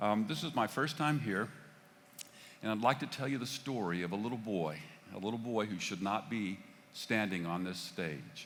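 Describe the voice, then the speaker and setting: A Texan accent at a moderate pace with lively intonation, long, frequent pauses and audible room echo. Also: man, fairly low pitch for a man. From Texas (Fort Worth). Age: 60s. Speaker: pastor. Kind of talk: sermon. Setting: church stage. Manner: halting.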